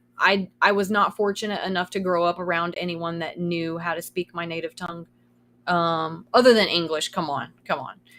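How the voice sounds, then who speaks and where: A woman speaks at a moderate pace in a Kentucky accent, her pitch fairly low and her intonation fairly even. The recording is very clean, with a silent background. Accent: Southern US (Kentucky). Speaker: streamer. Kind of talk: casual chat. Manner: sometimes trips over words.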